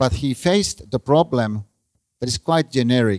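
A Finnish accent comes through at a fairly slow pace, with ordinary pitch variation and a dry, close sound that has no echo. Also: man. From Finland. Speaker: professor. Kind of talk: lecture. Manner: halting.

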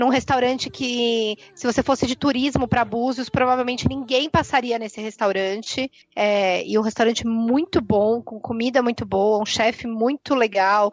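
A woman with an unremarkable speaking voice talks at a moderate pace with a fairly high pitch, fairly even intonation, and hardly any pauses. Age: 30s. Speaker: veterinarian, podcast listener guest. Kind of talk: casual chat.

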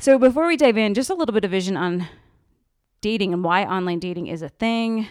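A woman speaks in a plain, everyday voice at a medium pitch. Her intonation is lively. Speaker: podcast host. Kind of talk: casual interview chat.

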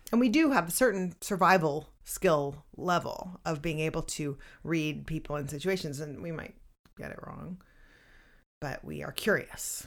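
Recorded very cleanly against a silent background, a woman speaks at a moderate pace in a very deep, low pitch with vocal fry, ordinary pitch variation and big swings in loudness. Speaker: podcast co-host and writing teacher. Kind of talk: casual chat.

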